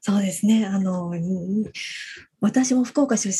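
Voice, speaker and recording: Somewhat breathy, a woman's voice sits at medium pitch. Its tone is dark and mellow. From Fukuoka, Japan. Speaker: radio co-host. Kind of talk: podcast hosting. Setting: video call.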